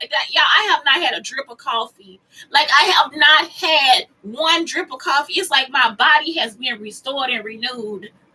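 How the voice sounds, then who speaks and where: In a raised, projected voice, a woman talks at a high pitch with lively intonation, an animated tone and hardly any pauses. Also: big swings in loudness. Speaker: vlogger. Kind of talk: casual monologue vlog. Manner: fast.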